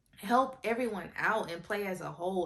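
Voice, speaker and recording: A woman speaks in an animated tone at a moderate pace. There is noticeable background noise. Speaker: sports commentary vlogger. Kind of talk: casual commentary.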